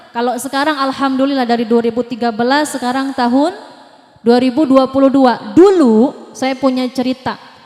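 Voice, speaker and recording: A high-pitched woman's voice at a fairly slow pace, with noticeable background noise. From Jakarta, Indonesia. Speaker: religious preacher and parenting speaker. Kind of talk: sermon. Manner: animated.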